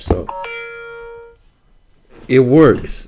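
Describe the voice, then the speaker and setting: Music behind a man's voice. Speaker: tech YouTuber. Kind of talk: casual screen-recording tech walkthrough. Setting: home, background noise. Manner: hesitant, stuttering.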